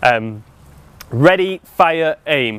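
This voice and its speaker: This man has a British accent and a fairly high pitch. His voice moves in very wide pitch swings. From UK. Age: 40s. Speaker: life coach. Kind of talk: seminar talk.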